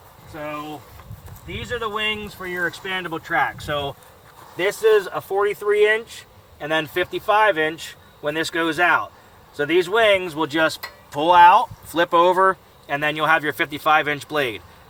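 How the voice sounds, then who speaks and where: Noticeable background noise sits behind a man with a high voice who speaks at a fairly slow pace with ordinary pitch variation. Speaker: equipment company founder. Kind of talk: product walkthrough. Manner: casual, conversational.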